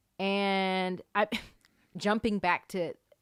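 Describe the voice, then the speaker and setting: Her voice bright and sharp at a medium pitch, a woman with an American accent is heard in a dry, close sound with no echo. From US South, Atlanta Georgia suburbs. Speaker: performer. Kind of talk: casual chat.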